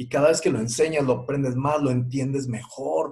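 Against noticeable background noise, a man talks at medium pitch with ordinary pitch variation. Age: 40s. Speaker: parenting podcast host. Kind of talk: podcast monologue.

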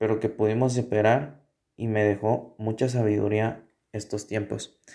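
A man with a Guatemalan accent speaks at a fairly slow pace and medium pitch in a dark, mellow tone. The recording is very clean, with a silent background. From Guatemala, Sololá. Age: 20s. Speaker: university student. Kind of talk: personal testimony. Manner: halting.

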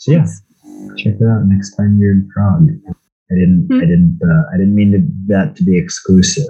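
A man with a fairly low pitch speaks at very even loudness, his pitch swinging very widely. Music plays in the background. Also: moderate pace. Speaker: podcast host. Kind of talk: casual chat about a movie.

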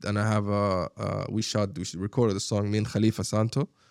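In a very clean recording with a silent background and a dry, close sound free of echo, a man talks at a fairly quick pace with an Arabic accent. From Sharjah, UAE. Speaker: rapper and former skateboarder. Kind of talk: casual interview chat. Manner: animated, filler-heavy, repeats words.

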